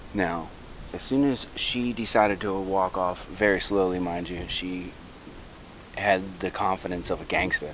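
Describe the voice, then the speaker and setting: A man with a very deep, low pitch speaks with fairly even intonation over noticeable background noise. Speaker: wildlife vlogger. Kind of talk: outdoor vlog narration. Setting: outdoors on a trail. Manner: soft-spoken.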